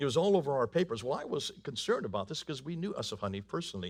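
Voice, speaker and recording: A man at a very fast pace with very wide pitch swings. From northern India. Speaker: preacher and speaker on Islam. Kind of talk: church talk. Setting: church. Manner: animated.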